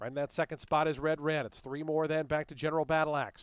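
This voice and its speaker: A man with an ordinary speaking voice, fairly high pitch and fairly quick pace, in a very clean recording with a silent background and a dry, close sound with no echo. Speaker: horse race caller. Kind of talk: live race call, rapid-fire play-by-play narration of a horse race. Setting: racetrack PA announcer booth. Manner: fast, rhythmic, clipped delivery, rattling off names and margins; builds intensity and urgency toward the stretch, crisp and authoritative.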